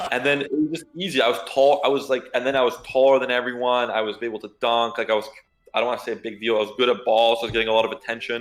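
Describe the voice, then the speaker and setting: The talking moves at a very fast pace. Music plays in the background. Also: man, medium pitch for a man, fairly even intonation. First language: Polish. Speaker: nightclub bouncer. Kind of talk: casual interview. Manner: halting, many fillers.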